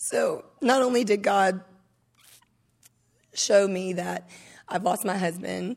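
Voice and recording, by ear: At a slow pace, a woman speaks in a medium pitch with ordinary pitch variation, her voice raspy with vocal fry, slightly mellow in tone and nervous.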